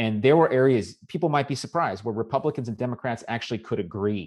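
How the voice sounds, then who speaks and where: Very fast speech from a man with an American accent, against a quiet background. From Southern California. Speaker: political candidate and policy commentator. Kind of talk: interview. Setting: remote call from home.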